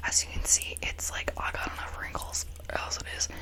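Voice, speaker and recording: A woman whispers in a relaxed tone against noticeable background noise. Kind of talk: ASMR makeup tutorial. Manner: whispered; soft-spoken, relaxed.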